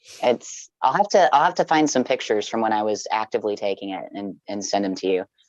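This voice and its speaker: At a very fast pace with hardly any pauses, a woman speaks in a very deep, low pitch, captured in a dry, close sound with no echo. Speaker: guest speaker. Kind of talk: casual interview. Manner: halting.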